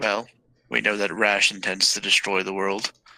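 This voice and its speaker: A man puts on a raspy character voice, fairly low in pitch. He talks at a moderate pace with fairly even intonation. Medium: actual play. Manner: formal, measured.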